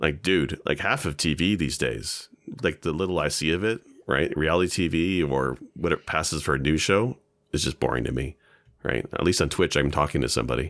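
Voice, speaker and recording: Against a silent background in a very clean recording, a man with a Canadian accent speaks at a fairly quick pace in a very deep, low pitch, with vocal fry and very even loudness. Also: ordinary pitch variation. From Ontario, Canada. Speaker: podcast guest. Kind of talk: casual chat.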